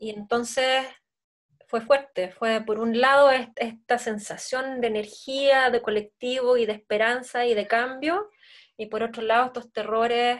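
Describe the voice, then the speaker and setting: A woman with an unremarkable speaking voice talks at a fairly slow pace. Her pitch is fairly high and her intonation fairly even. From Chile, Santiago. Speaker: dancer and choreographer. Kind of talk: interview.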